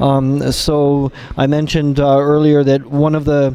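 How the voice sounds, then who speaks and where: A man with a Canadian accent speaks in a fairly high pitch. Music plays in the background. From Canada. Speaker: kernel developer. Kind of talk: interview. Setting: conference lounge.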